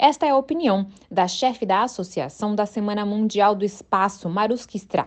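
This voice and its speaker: In an ordinary speaking voice, a woman with medium pitch and lively intonation speaks at a moderate pace. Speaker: UN news reporter. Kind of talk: news report reading. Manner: formal, even, brisk newsreader delivery.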